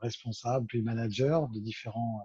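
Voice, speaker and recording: In a somewhat breathy voice, a man keeps up a moderate pace. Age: 50s. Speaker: business consultant. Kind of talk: interview. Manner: hesitant, many fillers.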